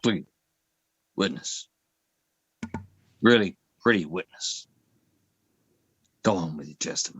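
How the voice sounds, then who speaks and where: Putting on a drawling character voice, a man speaks at a moderate pace and fairly low pitch, with big swings in loudness and long, frequent pauses. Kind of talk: mock-courtroom, flattering. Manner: lilting, drawling.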